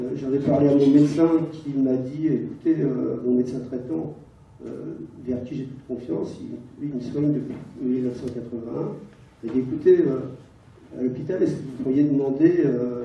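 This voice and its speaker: Speaking at a moderate pace with long, frequent pauses, a man with a medium pitch and ordinary pitch variation shows big swings in loudness amid audible room echo. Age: 70s. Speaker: audience member, patient. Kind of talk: audience question at conference. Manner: halting, hesitant.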